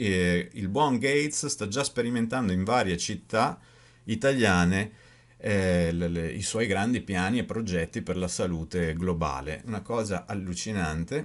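At a fairly slow pace, a man speaks in a fairly low pitch with lively intonation. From Italy. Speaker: video blogger and author. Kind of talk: angry rant, conspiracy-minded monologue to camera. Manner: indignant, increasingly heated, rhetorical questions, emphatic. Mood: indignant, critical. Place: home room. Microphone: webcam.

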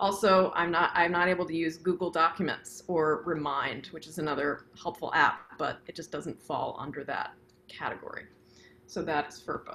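A woman with a fairly low pitch has an unremarkable speaking voice, talking at a moderate pace with fairly even intonation over light background noise. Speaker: flute professor. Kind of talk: instructional panel discussion. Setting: video call. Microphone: video call.

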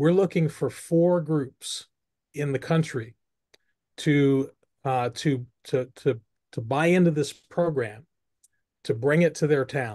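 A man's fairly high voice at a very slow pace over a quiet background. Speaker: webinar host, movement founder. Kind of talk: online presentation and Q&A. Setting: video call. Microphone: video call.

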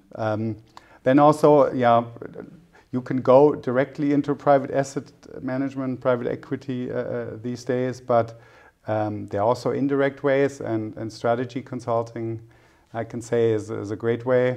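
Speaking at a moderate pace with a German accent, a man keeps a medium pitch and fairly even intonation against a quiet background. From Germany. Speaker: private equity executive; interviewee. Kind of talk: interview. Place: studio. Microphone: lapel.

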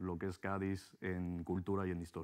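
A man with a very deep, low pitch, in a quiet background. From Mexico. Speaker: hotel businessman; interviewee. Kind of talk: interview. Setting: TV studio. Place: studio. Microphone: lapel.

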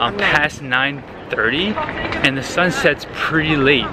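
The clip has noticeable background noise and a dry sound with no echo. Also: man. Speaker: travel vlogger. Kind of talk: casual vlog chat. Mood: cheerful, relaxed. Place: street. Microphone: phone near.

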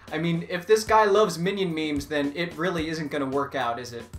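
A man at a fairly quick pace, with ordinary pitch variation and faint music in the background. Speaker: comedy YouTuber. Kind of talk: casual vlog chat. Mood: sarcastic, joking. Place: home room.

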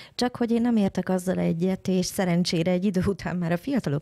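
Over a quiet background, a woman with a fairly low pitch and a dark, mellow tone speaks at a fairly quick pace with ordinary pitch variation. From Hungary. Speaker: internet lawyer. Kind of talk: panel discussion. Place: studio.

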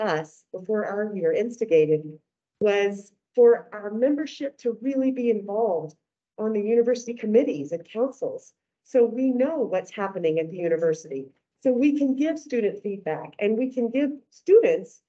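A woman talks at a moderate pace. Behind her the background is quiet. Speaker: candidate. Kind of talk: campaign speech. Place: hall.

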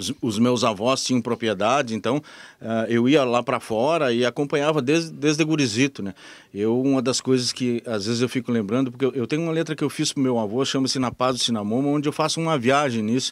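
Against a quiet background, a man speaks with ordinary pitch variation, the sound dry with no echo. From Rio Grande do Sul, Brazil (Alegrete); Rio Grande do Sul, Brazil. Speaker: radio host. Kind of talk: interview. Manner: halting. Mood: relaxed, reminiscing. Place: studio. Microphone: handheld.

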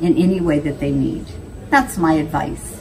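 A woman speaks at a fairly low pitch. Noticeable background noise runs behind her. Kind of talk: interview answer. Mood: earnest, encouraging. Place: office. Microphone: phone near.

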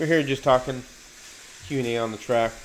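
This man speaks at a very fast pace with fairly even intonation. Light background noise sits behind him. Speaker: hobby livestream host. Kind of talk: casual livestream chat. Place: home room.

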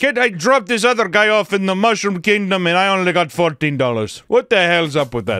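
A man in a put-on character voice, gruff and high-pitched, with an Armenian accent, a moderate pace and hardly any pauses, on a very clean recording with a silent background. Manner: complaining.

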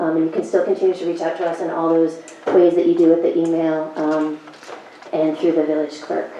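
Speech comes at a fairly quick pace in a monotone, flat intonation. Audible room echo and noticeable background noise fill the recording. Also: woman. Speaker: planning board chair. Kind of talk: public meeting chairing. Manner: fast.

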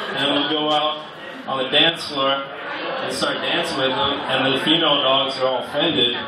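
Loud background noise and audible room echo fill the clip. A man talks at a fairly slow pace. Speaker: stand-up comedian. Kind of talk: stand-up comedy set with crude, offensive jokes. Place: bar.

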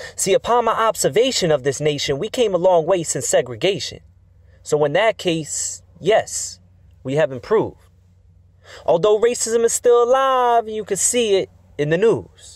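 A passionate tone at a moderate pace on a very clean recording with a silent background. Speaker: spoken word poet. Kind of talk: spoken word poem, rhymed and rhythmic tribute. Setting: outdoors at a memorial statue. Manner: rhythmic, emphatic, declamatory delivery with rhymes; earnest, passionate, measured.

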